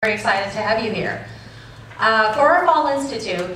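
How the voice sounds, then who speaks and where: A woman's medium-pitched voice at a fairly quick pace, with noticeable background noise and audible room echo. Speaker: teacher and conference organizer. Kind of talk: welcome speech to conference audience. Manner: loud.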